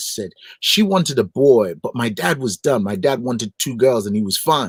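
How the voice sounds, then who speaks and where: A man with a Nigerian accent at a fairly slow pace, his pitch swinging very widely, in a dry, close sound with no echo. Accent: Nigerian accent, retained. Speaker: gospel singer and broadcaster. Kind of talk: interview. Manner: animated.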